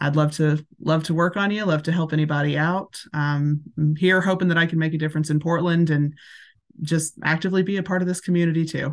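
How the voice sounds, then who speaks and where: Against a quiet background, a woman with a Tennessee accent speaks fairly quickly in a very deep, low voice with monotone, flat intonation. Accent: Southern US (Tennessee). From US South, Tennessee. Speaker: massage therapist. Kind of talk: casual interview.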